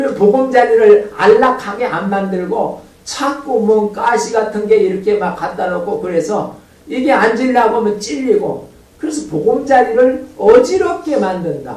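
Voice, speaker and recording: A man talks at an extremely high pitch with lively intonation and an animated tone at a fairly slow pace. Noticeable background noise and audible room echo are present. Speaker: pastor. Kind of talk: sermon.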